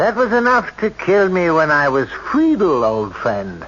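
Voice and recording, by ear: Using a put-on character voice, a man speaks at a fairly slow pace with fairly high pitch, a fairly bright tone, and very wide pitch swings.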